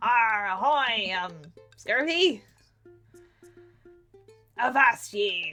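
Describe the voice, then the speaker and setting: In a put-on character voice, a woman speaks very slowly at a fairly high pitch, with long, frequent pauses. Faint music plays in the background. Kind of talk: mock pirate talk. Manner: playful, exaggerated.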